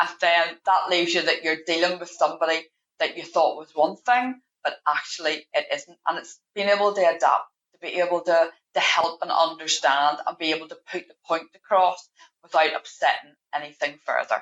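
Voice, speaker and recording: In a Northern Irish accent, a woman with a fairly low pitch talks at a moderate pace with fairly even intonation and big swings in loudness. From Northern Ireland. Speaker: payroll manager. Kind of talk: podcast interview.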